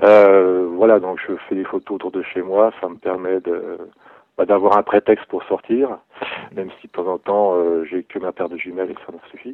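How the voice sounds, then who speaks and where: Speaking at a moderate pace, a man with a very deep, low pitch keeps a monotone, flat intonation while his loudness swings widely. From Burgundy, Bresse area, France. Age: 30s. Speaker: amateur wildlife photographer. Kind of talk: interview. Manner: hesitant, repeats words.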